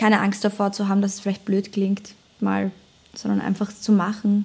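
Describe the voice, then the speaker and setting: A woman's medium-pitched voice at a fairly quick pace, over noticeable background noise. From German-speaking, bilingual with American father. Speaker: singer-songwriter. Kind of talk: casual chat.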